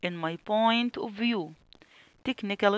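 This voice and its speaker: In a dry, close sound with no echo, a woman with an Egyptian accent speaks at a fairly slow pace. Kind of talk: tutorial. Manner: slow, repetitive dictation.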